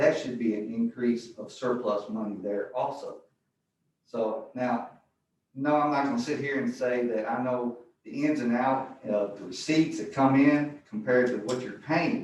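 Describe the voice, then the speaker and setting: Audible room echo surrounds a man who talks at a fairly slow pace with ordinary pitch variation. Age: 60s. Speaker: member of the public giving comment. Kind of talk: public comment at a board meeting. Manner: halting, many uh fillers.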